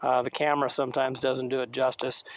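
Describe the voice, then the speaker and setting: The recording sounds dry and close, with no echo. A man does the talking. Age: 60s. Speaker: e-bike reviewer. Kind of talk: product review while riding. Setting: outdoors on a trail ride. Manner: halting, many fillers.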